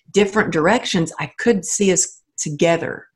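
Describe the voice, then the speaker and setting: Somewhat breathy and medium-pitched, a woman speaks at a fairly slow pace with ordinary pitch variation. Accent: American. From Texas. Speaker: author and motivational speaker. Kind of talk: interview.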